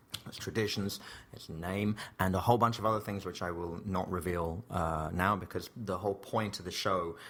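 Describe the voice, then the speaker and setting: A man is speaking. He has an English accent. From England (Slough). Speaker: comedian and theatre performer. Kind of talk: casual interview chat. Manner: hesitant, many fillers and restarts.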